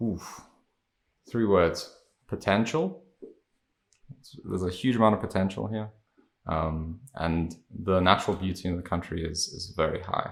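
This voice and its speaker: A man's very deep, low voice at a fairly slow pace, with ordinary pitch variation and long, frequent pauses. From South Africa, Johannesburg. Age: 20s. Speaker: podcast guest. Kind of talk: interview.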